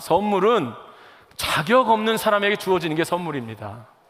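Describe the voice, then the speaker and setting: A man's lively intonation stands out against noticeable background noise. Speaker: pastor. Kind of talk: sermon. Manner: fast.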